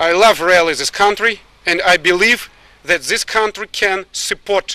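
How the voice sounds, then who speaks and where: The voice is raised and projected, with a bright, sharp tone and a Russian accent. The sound is dry and close, with no echo. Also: man. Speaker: military officer. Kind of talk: press statement. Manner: halting.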